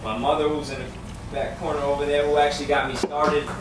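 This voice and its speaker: Over noticeable background noise, a man with an American accent talks very fast at a medium pitch. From New York. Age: 20s. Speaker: spoken word poet. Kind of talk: casual talk to a live audience.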